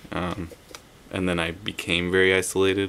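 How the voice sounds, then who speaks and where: A man speaks at a moderate pace. His pitch is very deep and low. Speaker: vlogger in a group video series. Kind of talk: casual vlog chat. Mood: warm, reflective. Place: home room. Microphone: webcam.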